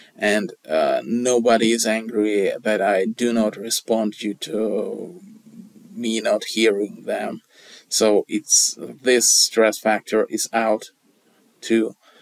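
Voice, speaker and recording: The speech comes at a very slow pace in a dry, close sound with no echo. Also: man. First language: non-English. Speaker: video blogger. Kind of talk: casual talk to camera. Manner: hesitant, many fillers.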